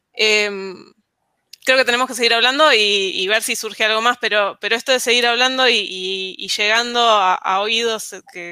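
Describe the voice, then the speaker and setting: Bright and sharp in tone, a woman's fairly high voice moves at a moderate pace with ordinary pitch variation. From Argentina, Ushuaia. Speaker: software engineer. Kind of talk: casual panel chat.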